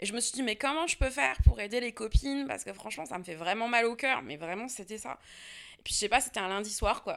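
On a very clean recording against a silent background, a woman talks with lively intonation. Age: 30s. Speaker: history and geography teacher, author. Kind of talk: interview conversation. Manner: casual, hesitant with fillers.

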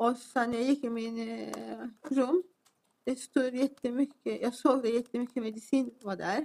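With a Turkish accent, a woman speaks at a fairly slow pace and a high pitch, keeping her intonation fairly even. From Turkey. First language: Turkish (speaking Swedish). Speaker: defendant. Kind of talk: court testimony. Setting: courtroom.

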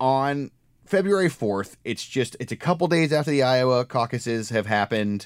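An ordinary speaking voice from a man, medium in pitch, at a moderate pace with lively intonation, on a very clean recording against a silent background. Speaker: podcast host and political reporter. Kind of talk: casual podcast conversation.

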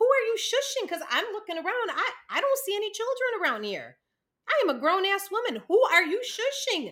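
Bright and sharp in tone, a woman's raised, projected voice sits at an extremely high pitch with very wide pitch swings and a fairly quick pace. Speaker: podcast co-host. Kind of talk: casual chat. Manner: loud.

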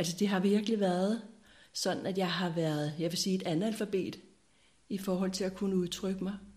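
A woman at a medium pitch, somewhat breathy, with a dark, mellow tone, very even loudness, fairly even intonation, a moderate pace and audible room echo. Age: 60s. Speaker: spiritual seeker sharing her life story. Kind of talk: reflective interview conversation. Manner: halting with many hesitations.

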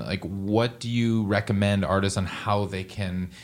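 In a very clean recording with a silent background, a man speaks at a moderate pace and fairly low pitch with fairly even intonation, in a plain, everyday voice. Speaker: podcast host. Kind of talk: interview, casual conversation.

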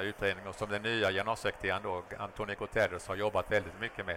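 This man has a fairly low pitch and a bright, sharp tone, captured in a very clean recording with a silent background. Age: 60s. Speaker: former diplomat and whistleblower. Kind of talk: interview. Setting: live at a trade fair.

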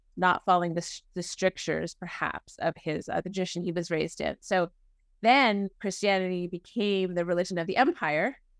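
A woman with a fairly low pitch talks at a moderate pace in an American accent, using an ordinary speaking voice and fairly even intonation. The recording is very clean, dry and close, with no echo and a silent background. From New England (Boston area). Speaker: minister. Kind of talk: interview conversation.

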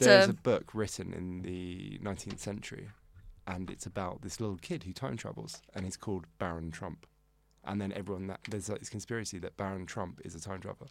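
Speech comes at a fairly brisk rate with a creaky vocal fry throughout. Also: man, very deep, low pitch for a man, ordinary pitch variation. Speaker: podcast guest. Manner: fast talker.

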